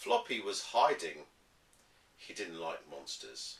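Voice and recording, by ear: A man's low-pitched voice with vocal fry, big pitch swings and a slow pace, plus audible room echo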